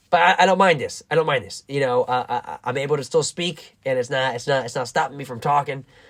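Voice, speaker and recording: A man talks at a very fast pace with hardly any pauses. His pitch is fairly high. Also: ordinary pitch variation. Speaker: vlogger and amateur comedian. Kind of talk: casual monologue. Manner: halting, many fillers and repetitions.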